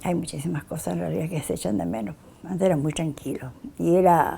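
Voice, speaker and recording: Her dark, mellow tone carries vocal fry as this woman speaks at a moderate pace. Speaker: longtime resident. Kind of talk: interview.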